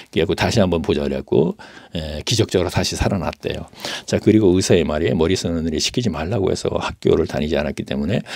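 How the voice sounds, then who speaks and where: With a very deep, low pitch, a man talks at a very fast pace and ordinary pitch variation. Background noise is noticeable. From South Korea, Daejeon. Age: 70s. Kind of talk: testimony. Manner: halting, with fillers.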